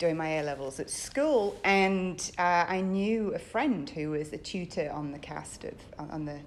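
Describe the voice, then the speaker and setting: A woman at medium pitch speaks at a moderate pace with ordinary pitch variation, and audible room echo surrounds her voice. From northern England. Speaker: theatre director and academic. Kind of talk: interview. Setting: theatre stage. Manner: hesitant, many ums.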